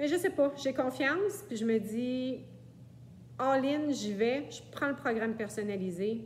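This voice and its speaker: A woman with a Quebec accent speaks at a very slow pace in a high pitch. Her intonation is lively. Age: 60s. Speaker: client. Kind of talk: testimony. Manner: hesitant, many fillers.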